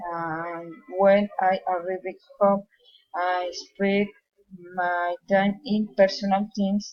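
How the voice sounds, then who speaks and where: A woman with a Colombian accent talks at a very slow pace and medium pitch, in a monotone, flat intonation with long, frequent pauses. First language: Spanish. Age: 20s. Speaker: psychology student and police worker. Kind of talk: English class speaking exercise. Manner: halting.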